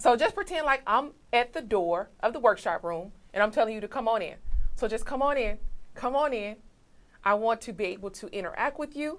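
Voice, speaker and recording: A woman speaks in a fairly high pitch at a fairly quick pace. Her tone is animated and her intonation lively. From Mississippi, US South. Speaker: motivational speaker. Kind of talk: motivational talk. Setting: studio, livestreamed online session.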